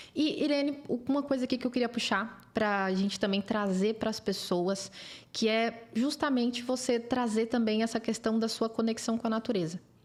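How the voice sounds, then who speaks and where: With an unremarkable speaking voice, a woman talks at a fairly high pitch with ordinary pitch variation and very even loudness, recorded very cleanly against a silent background. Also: moderate pace. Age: 20s. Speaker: podcast host. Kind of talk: interview.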